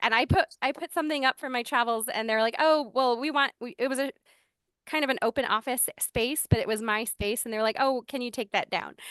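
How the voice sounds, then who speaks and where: The pace is fairly quick, with ordinary pitch variation. The sound is dry and close with no echo, over a quiet background. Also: woman. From Hawaii. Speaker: urban planner. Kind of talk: panel discussion. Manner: casual, many fillers.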